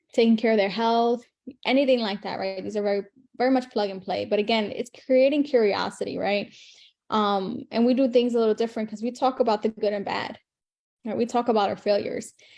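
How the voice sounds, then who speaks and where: A woman with a fairly high pitch talks at a fairly quick pace. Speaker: online marketing coach. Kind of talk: live stream teaching. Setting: live video stream. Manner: fast; animated.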